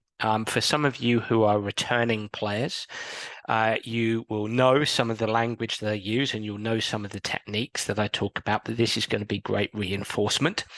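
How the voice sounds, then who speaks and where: The voice keeps a moderate pace with monotone, flat intonation. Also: man, medium pitch for a man, dry, close sound with no echo. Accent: English. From England. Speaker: sports psychologist. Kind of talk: recorded coaching talk. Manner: hesitant with fillers.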